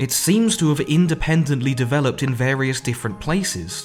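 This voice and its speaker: Music plays in the background as a man talks at a moderate pace. His voice sits at a medium pitch with ordinary pitch variation. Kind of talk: history explainer narration.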